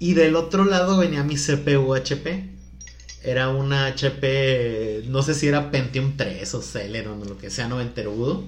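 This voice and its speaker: Spoken at a fairly slow pace with ordinary pitch variation, the voice comes through audible room echo and noticeable background noise. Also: man, medium pitch for a man. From Culiacán, Sinaloa, Mexico. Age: 30s. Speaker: podcast guest, salesperson. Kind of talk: casual chat.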